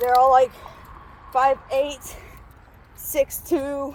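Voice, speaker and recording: There is noticeable background noise as a woman speaks in a high pitch. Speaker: vlogger. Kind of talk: casual vlog. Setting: outdoors walking to work. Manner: filler-heavy, casual.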